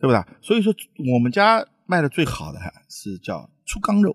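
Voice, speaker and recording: A man's pitch swings very widely, and his voice is somewhat breathy. The sound is dry and close, with no echo. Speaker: restaurant owner and chef. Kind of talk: casual chat over a meal, explaining food. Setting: restaurant during a meal. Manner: animated.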